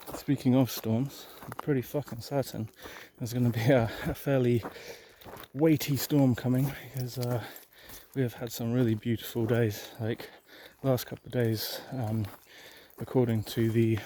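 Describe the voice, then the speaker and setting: Soft-spoken and dark and mellow in tone, a man with an English accent talks at a moderate pace and medium pitch with fairly even intonation and long, frequent pauses. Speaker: cannabis grower vlogger. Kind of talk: casual vlog monologue. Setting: outdoors.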